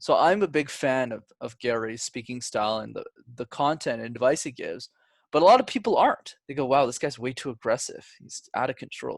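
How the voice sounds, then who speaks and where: The speech moves at a fairly quick pace with big swings in loudness. The background is quiet. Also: man. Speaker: public speaking coach. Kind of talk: podcast interview. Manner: talkative, fast.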